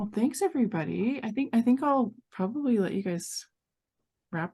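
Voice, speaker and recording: A woman with an American accent, fairly high-pitched, talking at a very fast pace with very wide pitch swings. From Montana. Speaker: workshop instructor. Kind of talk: online workshop teaching. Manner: drops word endings.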